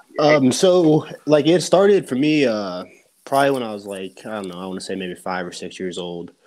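On a very clean recording with a silent background, a man of medium pitch speaks at a moderate pace, with very wide pitch swings and big swings in loudness. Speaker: pro wrestler. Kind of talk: casual chat.

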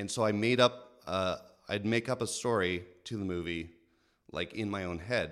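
This man has an ordinary speaking voice, fairly low in pitch. He talks at a moderate pace with ordinary pitch variation. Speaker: artist. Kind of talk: casual chat.

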